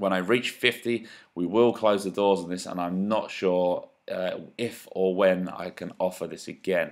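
A man with a fairly low pitch and fairly even intonation speaks at a fairly slow pace on a very clean recording with a silent background. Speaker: golf coach. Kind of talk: sales pitch. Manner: monotone at times.

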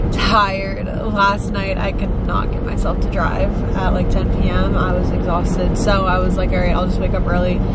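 A woman talking with hardly any pauses against loud background noise. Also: moderate pace. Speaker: vlogger. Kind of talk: casual vlog chat. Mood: chatty, upbeat. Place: car. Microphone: phone near.

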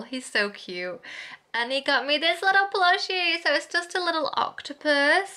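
A woman with a Northern English accent raises and projects her voice. Her pitch is extremely high. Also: lively intonation, moderate pace. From Hull, East Yorkshire, UK. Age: 20s. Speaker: vlogger. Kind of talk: casual vlog talk to camera. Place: home room. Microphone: phone near.

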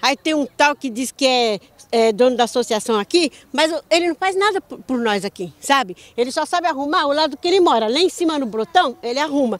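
The sound is dry with no echo as a woman speaks fairly quickly in a high pitch with lively intonation. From Rio de Janeiro, Brazil. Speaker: local resident. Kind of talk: complaint interview. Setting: outdoors. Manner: indignant. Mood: indignant, frustrated complaint. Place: street. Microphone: handheld.

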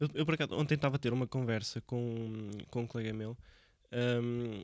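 A man speaks against a quiet background. The sound is dry, with no echo. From Portugal, Viseu; Portugal. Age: 20s. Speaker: podcast host. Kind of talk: casual interview. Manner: halting. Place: studio. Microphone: studio mic.

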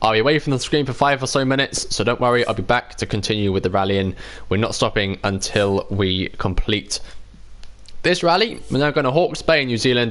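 Speaking at a fairly quick pace in a British accent, a man uses lively intonation. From UK. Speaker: gaming live streamer. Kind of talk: live gameplay commentary. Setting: home live stream. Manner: animated.

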